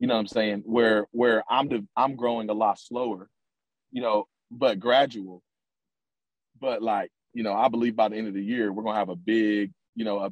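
Here a man has an ordinary speaking voice at medium pitch. He talks at a fairly quick pace with fairly even intonation. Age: 20s. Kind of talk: interview. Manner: filler-heavy, repetitive.

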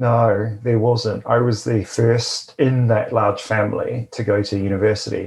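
A man's somewhat breathy voice moves at a fairly slow pace with hardly any pauses and monotone, flat intonation. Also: medium pitch for a man. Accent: New Zealand. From New Zealand, Tauranga. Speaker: lawyer and company founder. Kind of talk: interview conversation.

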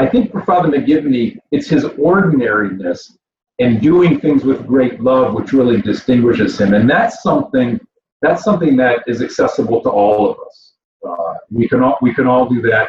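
This man talks at a moderate pace with a Midwestern American accent. His medium-pitched voice makes very wide pitch swings. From Michigan, Flint area. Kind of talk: interview. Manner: halting, many repetitions and fillers.

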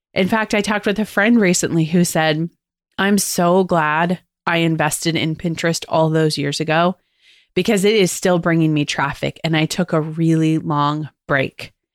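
A woman with a plain, everyday voice talks at a moderate pace and fairly low pitch, with fairly even intonation. Her loudness is very even, on a very clean recording with a silent background. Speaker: podcast host and agency owner. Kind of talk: solo podcast tutorial.

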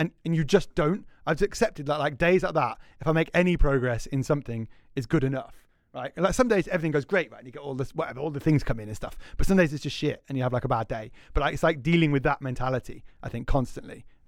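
A man with a Scouse accent talks very fast in a fairly high voice. His pitch varies in an ordinary way while his loudness swings widely. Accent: Scouse (Liverpool) English. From Liverpool, England. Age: 30s. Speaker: game store owner. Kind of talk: casual chat.

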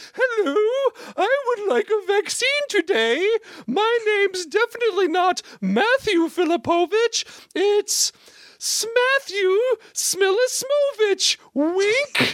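Using a put-on character voice pitched extremely high, a woman speaks at a fairly slow pace with lively intonation and very even loudness, in a dry, close sound with no echo. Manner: silly, mock-polite.

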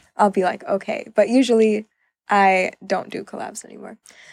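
A woman with an American accent speaks in an unremarkable speaking voice at medium pitch with ordinary variation, the sound dry and close with no echo. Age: 20s. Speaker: freelance model. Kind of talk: interview.

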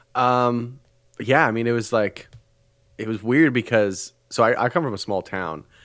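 In a Canadian accent, a man with a plain, everyday voice speaks at a medium pitch and moderate pace with ordinary pitch variation, on a very clean recording with a silent background. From Canada. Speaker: fitness influencer. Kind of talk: casual chat.

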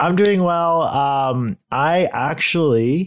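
A man talks with ordinary pitch variation, captured in a very clean recording against a silent background. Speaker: podcast host. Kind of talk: casual chat. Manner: joking.

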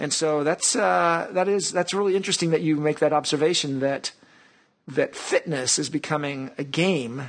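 A man delivers his words at a moderate pace, his pitch varying in an ordinary way, in an ordinary speaking voice. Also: fairly high pitch for a man. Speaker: podcast host. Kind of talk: podcast interview.

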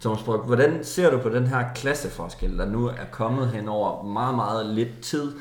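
Speaking at a fairly slow pace with hardly any pauses and ordinary pitch variation, a man is heard in audible room echo over noticeable background noise. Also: medium pitch for a man. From North Jutland, Denmark. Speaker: football podcast host. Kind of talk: casual chat.

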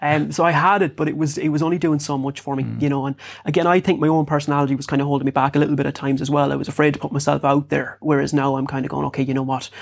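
Speaking in a western Irish accent, a man talks at a very fast pace with hardly any pauses, fairly high pitch, and monotone, flat intonation. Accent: rural west of Ireland. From Ireland, rural South Sligo. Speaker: fitness and lifestyle coach, author. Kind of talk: interview.

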